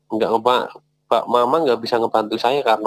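Over a quiet background, a man talks with fairly even intonation in a dry sound with no echo. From Central Java, Purworejo; Central Java. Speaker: caller. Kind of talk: personal testimony. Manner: halting.

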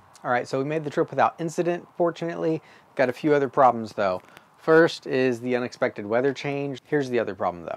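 Intonation is lively as a man speaks. He goes at a very fast pace. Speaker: DIY video host. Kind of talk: tutorial. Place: garden.

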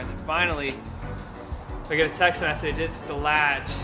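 Clear music plays behind a man who talks at a moderate pace. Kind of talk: interview answer. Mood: amused, storytelling. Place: garage.

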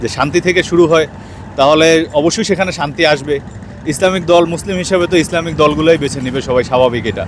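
Noticeable noise runs beneath a man's fairly high voice, which varies in pitch by normal amounts. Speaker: interviewee in street vox pop. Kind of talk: street interview.

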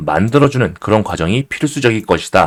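A man speaks at a fairly quick pace. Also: dry, close sound with no echo. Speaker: crypto trading YouTuber. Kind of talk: market analysis video. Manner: animated.

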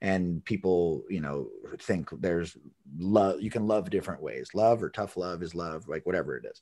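Over a quiet background, a man with a very deep, low pitch and a dark, mellow tone speaks at a moderate pace with fairly even intonation. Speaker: podcast host, dog trainer. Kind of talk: casual interview chat. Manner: halting, many repetitions. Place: home room. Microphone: video call.

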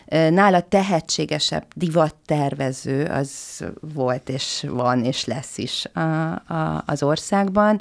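Against a quiet background, the speech moves at a very slow pace with lively intonation. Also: woman, very deep, low pitch for a woman. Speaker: historian of fashion. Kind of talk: interview discussion. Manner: halting, hesitant. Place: studio. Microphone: studio mic.

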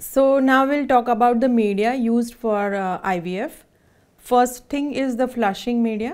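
Fairly slow speech from a woman with a Gujarati accent, high in pitch with ordinary pitch variation, against a quiet background. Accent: Indian English (Gujarati). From India, Surat (Gujarat); Gujarat, India. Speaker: clinical embryologist; embryologist instructor. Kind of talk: presentation. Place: studio.

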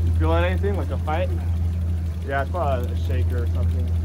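A man rattles along very fast while loud noise fills the background. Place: boat. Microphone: camera far.

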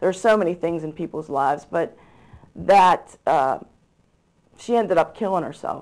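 A woman with an American accent, fairly low pitch, ordinary pitch variation and a moderate pace. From Pittsburgh, Pennsylvania. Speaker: church volunteer youth leader. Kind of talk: interview. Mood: earnest, somber at times. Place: studio. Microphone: lapel.

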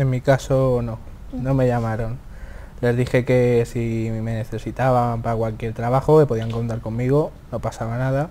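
A man speaks at a moderate pace in a dark, mellow tone with monotone, flat intonation over light background noise. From Spain. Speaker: student; interviewee. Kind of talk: interview. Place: studio. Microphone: lapel.

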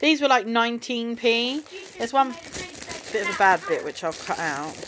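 Over noticeable background noise, a high-voiced woman with an English accent speaks at a moderate pace, her pitch swinging very widely. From UK. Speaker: vlogger, mum; vlogger. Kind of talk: casual shopping haul vlog. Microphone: phone near.

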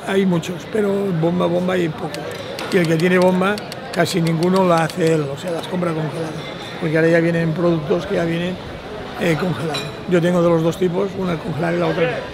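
A man at a fairly quick pace, in a dry sound with no echo and with noticeable background noise. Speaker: bar owner. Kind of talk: documentary interview. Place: street.

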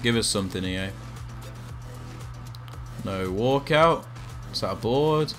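Over music in the background, a man speaks at a very slow pace and medium pitch with lively intonation. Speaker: gaming YouTuber. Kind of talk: casual gameplay commentary.

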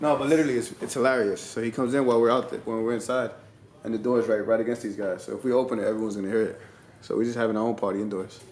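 Room echo is audible as a man speaks at a very fast pace. His intonation is fairly even. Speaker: vlogger. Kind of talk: casual vlog chat. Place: home room. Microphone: phone near.

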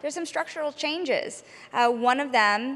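Moderate pace and lively intonation in a woman's voice. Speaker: TV business journalist, panel moderator. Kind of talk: panel interview. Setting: stage with audience. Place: stage. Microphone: handheld.

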